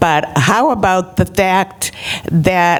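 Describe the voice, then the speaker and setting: Through noticeable background noise, a woman talks at a very slow pace with ordinary pitch variation. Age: 80s+. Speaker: retirement community resident. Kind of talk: public meeting speech.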